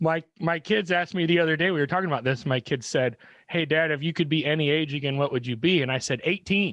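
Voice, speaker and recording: Speaking at a very fast pace with very even loudness, the man has a fairly high pitch. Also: ordinary pitch variation. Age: middle-aged. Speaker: podcast host. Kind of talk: casual interview.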